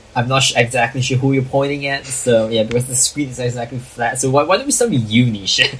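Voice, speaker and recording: Barely pausing, a man speaks at a very fast pace with fairly even intonation. His pitch is medium, and background noise is noticeable. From Malaysia. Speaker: podcast host. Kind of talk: casual chat.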